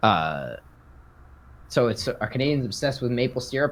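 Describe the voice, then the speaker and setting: Vocal fry runs through a man's speech. He talks fairly quickly. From Canada, Newfoundland. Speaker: streamer co-host. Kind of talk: casual chat.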